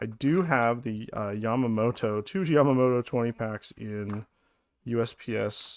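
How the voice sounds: His pace is moderate. A man talks, his pitch shifting in an ordinary way.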